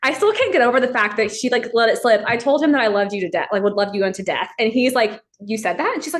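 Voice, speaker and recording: Very fast speech with an American accent, hardly any pauses and ordinary pitch variation. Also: woman, fairly high pitch for a woman. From Texas. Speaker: church worker. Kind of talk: casual chat.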